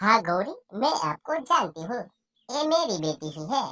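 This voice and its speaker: In a cartoonish character voice, a woman speaks at a fairly high pitch and moderate pace, her pitch swinging very widely. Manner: gentle, warm.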